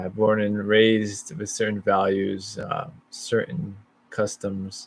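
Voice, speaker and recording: Fairly slow and fairly low, a man talks with a Chicago accent. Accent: Chicago American. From US Midwest, Chicago. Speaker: vlogger. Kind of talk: casual monologue. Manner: halting.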